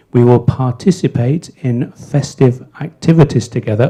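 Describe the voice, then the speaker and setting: The voice is somewhat breathy and dark, mellow in tone, moving at a fairly slow pace with ordinary pitch variation. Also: man. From England. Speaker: master of ceremonies. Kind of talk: event hosting. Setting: stage with audience. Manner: casual, joking.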